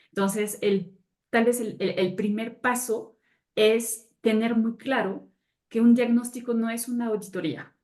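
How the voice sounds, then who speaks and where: A woman speaks at a fairly slow pace with a fairly high pitch and fairly even intonation. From France. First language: French (speaking Spanish). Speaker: sustainability consultant. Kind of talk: webinar panel talk.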